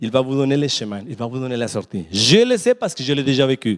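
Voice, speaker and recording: With very wide pitch swings and an animated tone, a man talks in a non-native accent. The sound is dry and close, with no echo. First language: not French (speaking French). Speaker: preacher. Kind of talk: sermon. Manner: repetitive, halting.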